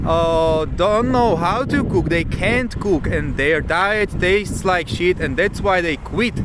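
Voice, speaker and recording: Amid noticeable background noise and audible room echo, a man with a Czech accent and a high pitch speaks fairly slowly with ordinary pitch variation. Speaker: fitness youtuber. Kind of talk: vlog tutorial. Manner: halting; animated.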